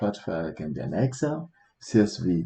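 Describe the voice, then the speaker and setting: A man's dark, mellow voice carries vocal fry and very wide pitch swings. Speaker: IT instructor. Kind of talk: tutorial. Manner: halting, many fillers.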